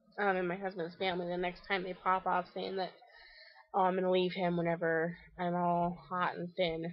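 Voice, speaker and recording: A woman's fairly low, monotone voice with flat intonation at a moderate pace. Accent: American. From Kansas. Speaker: vlogger. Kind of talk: casual vlog. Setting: outdoors on back porch.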